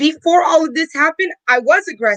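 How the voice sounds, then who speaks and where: A woman's raised, projected voice, bright and sharp in tone, with lively intonation at a moderate pace. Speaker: political candidate. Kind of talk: panel discussion.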